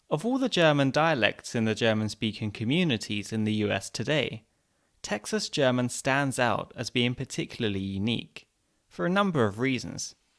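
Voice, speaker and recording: A man with a normal speaking voice talks at a moderate pace in a medium pitch, his intonation lively. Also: very clean recording, silent background. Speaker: podcast host. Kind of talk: podcast intro narration.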